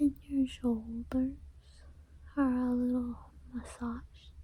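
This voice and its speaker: Whispering and soft-spoken, a woman speaks at a very slow pace in a calm, soothing tone. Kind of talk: ASMR personal attention roleplay. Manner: whispered, soft-spoken.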